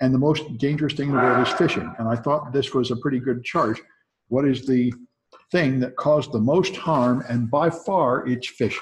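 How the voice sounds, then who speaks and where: Over light background noise, a man speaks at a moderate pace with very even loudness and ordinary pitch variation. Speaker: college instructor. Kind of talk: lecture. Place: classroom.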